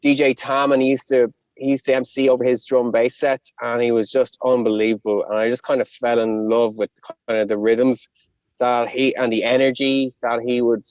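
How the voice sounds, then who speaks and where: A man speaks with a Connemara accent in a flat monotone. The sound is dry and close, without echo. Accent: Connemara Irish. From Ireland, Connemara. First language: Irish. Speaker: rapper. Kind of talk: interview.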